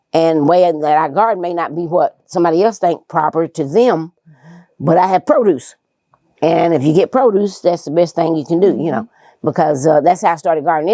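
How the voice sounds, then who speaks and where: A woman speaks at a fairly quick pace in a fairly low, dark, mellow voice with ordinary pitch variation. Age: 60s. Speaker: gardener. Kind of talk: interview.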